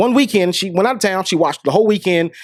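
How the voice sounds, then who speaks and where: The tone is animated, captured on a very clean recording with a silent background. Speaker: podcast host. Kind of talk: casual storytelling monologue. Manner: fast.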